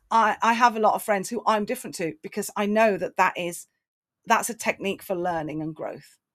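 With an English accent, a woman speaks at a fairly quick pace and a medium pitch, using ordinary pitch variation. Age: 50s. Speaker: motivational speaker. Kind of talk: casual chat.

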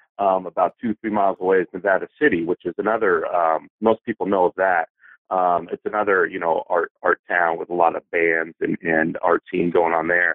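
With an American accent, a man speaks in a very deep, low pitch at a moderate pace. His intonation stays fairly even, and there are hardly any pauses. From Los Angeles, US West Coast. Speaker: poet and small press publisher. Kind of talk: casual interview chat.

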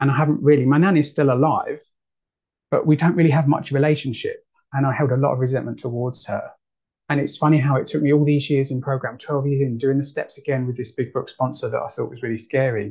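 A man talks very fast with a fairly high pitch and fairly even intonation. His voice is somewhat breathy. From United Kingdom. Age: 30s. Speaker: twelve-step meeting speaker. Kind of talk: recovery share. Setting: video call.

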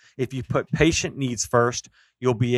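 This man has a plain, everyday voice at a medium pitch. He speaks at a moderate pace on a very clean recording with a silent background. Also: dry, close sound with no echo. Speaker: podcast co-host. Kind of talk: casual interview.

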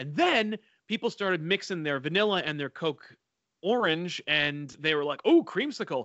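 A man with a high voice and lively intonation speaks at a moderate pace. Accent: American. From New Jersey. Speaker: YouTube comic channel host. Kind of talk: casual chat.

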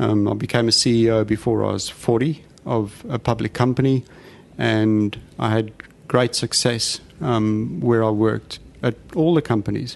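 A man with a South African accent speaks at a moderate pace and medium pitch, with ordinary pitch variation and noticeable background noise. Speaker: former company CEO with spinal cord injury. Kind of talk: interview conversation.

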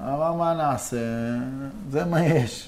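Here is a man with an ordinary speaking voice. He has a fairly high pitch and ordinary pitch variation. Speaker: real estate investor. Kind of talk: interview.

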